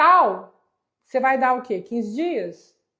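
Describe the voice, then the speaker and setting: A woman's high-pitched voice makes very wide pitch swings. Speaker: real estate auction instructor. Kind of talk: live online class. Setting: livestream on Instagram and YouTube.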